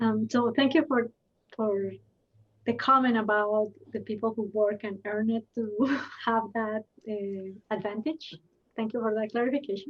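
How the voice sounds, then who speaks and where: A woman with a Spanish accent speaks at a moderate pace in a fairly high, somewhat breathy voice, leaving long, frequent pauses. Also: fairly even intonation. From Colombia. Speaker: intercultural development consultant. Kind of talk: panel discussion. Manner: somewhat choppy English.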